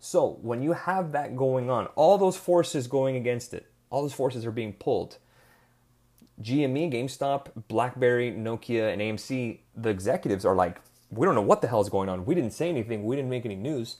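On a very clean recording with a silent background, a man in an ordinary speaking voice talks at a fairly quick pace, medium in pitch with lively intonation. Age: 30s. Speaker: podcast host, investment firm head. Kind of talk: solo explainer podcast. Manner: casual, conversational.

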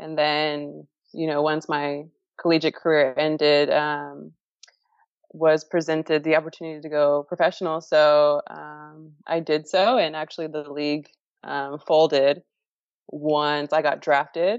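A woman with an American accent speaks in a very deep, low pitch at a moderate pace. Her intonation is fairly even, broken by long, frequent pauses. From Florida, US. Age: 20s. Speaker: professional soccer player. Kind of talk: interview.

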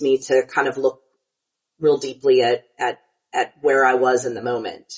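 Speaking with a Southern US accent, a woman uses ordinary pitch variation. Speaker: podcast co-host and pastor. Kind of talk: casual conversational interview.

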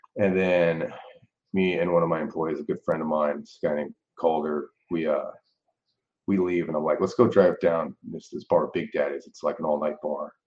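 A man with an American accent speaks at a moderate pace. His loudness swings widely. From US South, New Orleans, Louisiana. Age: 40s. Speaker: arcade owner. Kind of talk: interview, personal story.

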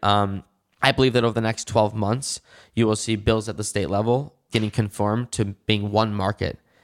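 A man with an ordinary speaking voice, fairly low in pitch, speaks at a moderate pace with fairly even intonation, the sound dry and close with no echo on a very clean recording with a silent background. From Michigan (West Bloomfield, Detroit area). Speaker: cannabis entrepreneur. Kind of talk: interview.

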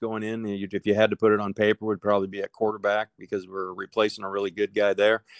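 With a Midwestern American accent, a man with a fairly low voice races along very fast, in a flat monotone and with hardly any pauses, the sound dry and close with no echo. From Nebraska. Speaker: high school football coach. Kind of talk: interview.

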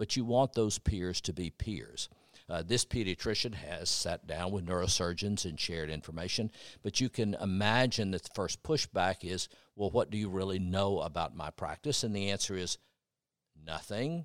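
A man with an American accent, an unremarkable speaking voice, fairly low pitch, ordinary pitch variation and a moderate pace, on a very clean recording with a silent background. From Tennessee, US. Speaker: physician and researcher. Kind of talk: interview, conversational.

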